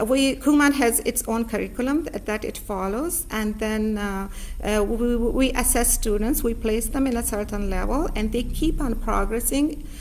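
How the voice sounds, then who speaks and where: A woman with a non-native accent and a fairly high pitch, ordinary pitch variation, a moderate pace and hardly any pauses, amid noticeable background noise and audible room echo. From Pakistan, rural village. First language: not English. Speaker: author and learning center owner. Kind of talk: interview. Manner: halting, many fillers.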